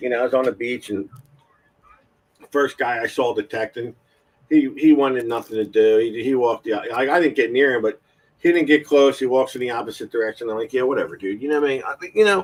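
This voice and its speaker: A man speaks at a very fast pace, his medium pitch showing ordinary variation. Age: 50s. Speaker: metal detecting show host. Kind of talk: casual chat. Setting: live stream.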